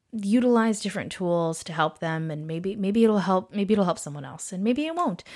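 Woman with a Californian accent and ordinary pitch variation. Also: very clean recording, silent background. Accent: Californian American. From San Diego, California. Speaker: podcast host, registered nurse and meditation teacher. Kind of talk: casual monologue. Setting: solo recording at a microphone. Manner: hesitant, many fillers.

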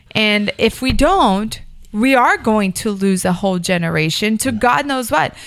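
An unremarkable speaking voice with an American accent talks at a fairly slow pace with lively intonation, on a very clean recording with a silent background. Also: woman, fairly high pitch for a woman. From Miami, Florida. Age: 30s. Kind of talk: casual chat.

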